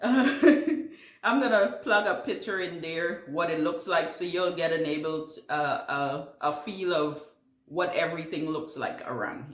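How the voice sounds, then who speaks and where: In a Caribbean accent, a woman speaks at a fairly slow pace with lively intonation, and audible room echo surrounds her voice. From Guyana. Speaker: gardening YouTuber. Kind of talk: casual Q&A vlog. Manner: halting, many fillers.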